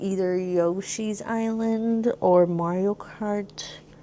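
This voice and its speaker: In a Californian accent, a woman speaks at a medium pitch with fairly even intonation. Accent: Californian American English. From Los Angeles, California. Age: 30s. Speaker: streamer and beauty creator. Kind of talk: casual makeup tutorial chat. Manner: casual, some stumbling.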